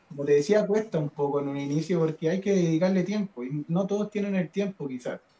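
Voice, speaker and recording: Moderate pace marks this man's delivery. He has an unremarkable speaking voice and ordinary pitch variation. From northern Chile, Diego de Almagro. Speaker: rock guitarist. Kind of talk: casual chat. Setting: live stream.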